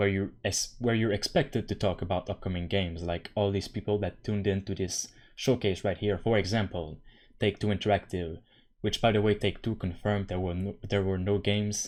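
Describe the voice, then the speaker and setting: At a fairly quick pace, a man with a non-native accent speaks at a fairly low pitch in a very clean recording with a silent background. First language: not English. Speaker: gaming YouTuber. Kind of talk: casual commentary vlog. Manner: animated, exasperated.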